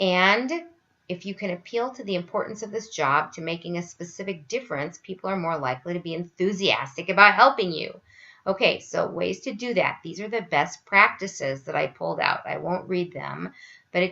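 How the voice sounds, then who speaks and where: A woman with a bright, sharp tone, vocal fry, ordinary pitch variation and big swings in loudness. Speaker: university instructor. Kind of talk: online lecture tutorial.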